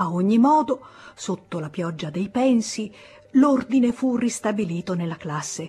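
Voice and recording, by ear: Lively intonation, with text read aloud in a natural voice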